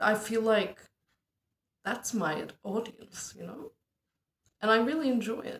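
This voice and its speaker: A woman with a Turkish accent speaks at a fairly slow pace and fairly high pitch, somewhat breathy, with ordinary pitch variation, big swings in loudness, and long, frequent pauses. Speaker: amateur stand-up comedian. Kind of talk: casual monologue vlog.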